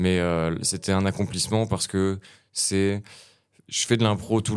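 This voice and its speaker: A man with a very deep, low voice speaks at a moderate pace on a very clean recording with a silent background. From France, Nancy (Lorraine). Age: 20s. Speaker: rapper and battle improviser. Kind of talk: casual interview chat.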